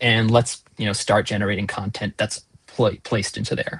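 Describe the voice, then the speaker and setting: The man's voice comes across somewhat breathy. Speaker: product team member answering user questions. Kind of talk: live town hall Q&A.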